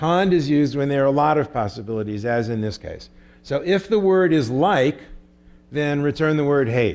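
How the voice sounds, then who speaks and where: A man has an unremarkable speaking voice pitched fairly high. His intonation is lively. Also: moderate pace. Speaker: computer science professor. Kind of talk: lecture.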